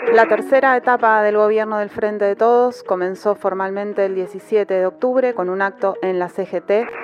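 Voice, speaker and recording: Over noticeable background noise, a woman talks at medium pitch and a moderate pace, with fairly even intonation and hardly any pauses. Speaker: radio host. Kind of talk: scripted radio narration.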